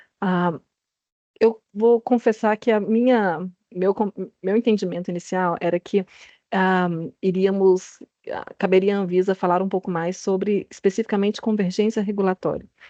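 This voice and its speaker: Against a quiet background, a woman speaks at medium pitch in a dark, mellow tone with long, frequent pauses, the sound dry and close with no echo. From Brazil. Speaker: health regulatory agency director. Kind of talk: panel presentation. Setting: video call. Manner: halting; slow.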